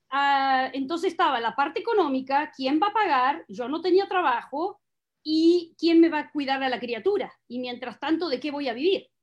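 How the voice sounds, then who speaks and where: With lively intonation and a moderate pace, a woman speaks at a high pitch. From Argentina, south of Buenos Aires province. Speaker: teacher and single mother sharing her story. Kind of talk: interview testimony. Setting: live stream. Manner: direct.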